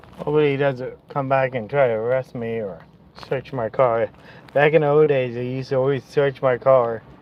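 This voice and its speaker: Fairly quick and fairly even in intonation, with noticeable background noise. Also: man, medium pitch for a man. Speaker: vlogger. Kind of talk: casual vlog talk. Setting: in a car, pulled over.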